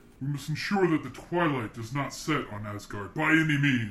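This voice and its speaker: A loud, booming put-on character voice from a man, fairly high in pitch, at a moderate pace. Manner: commanding.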